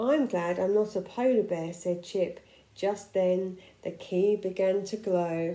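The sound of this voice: The delivery is an unforced reading voice. Its intonation stays fairly even.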